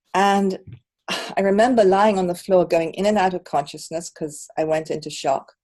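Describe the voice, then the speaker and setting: With an ordinary speaking voice, a woman talks fairly slowly, her medium pitch showing ordinary pitch variation. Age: 60s. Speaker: qigong teacher. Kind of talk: personal testimony.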